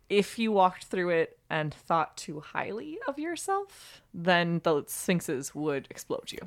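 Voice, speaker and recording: A woman talks in a normal speaking voice at a fairly slow pace with hardly any pauses. Her pitch is fairly low, and her intonation is lively. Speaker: guest on a podcast. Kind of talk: casual chat.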